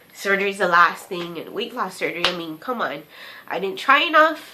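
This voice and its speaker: Over noticeable background noise, a woman speaks with lively intonation. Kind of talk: personal vlog diary talk to camera. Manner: hesitant, stuttering.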